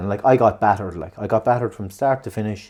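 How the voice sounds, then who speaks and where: In an Irish accent, a man with a dark, mellow tone talks at a very fast pace with ordinary pitch variation. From Ireland. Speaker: podcast host. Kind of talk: casual chat. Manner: animated.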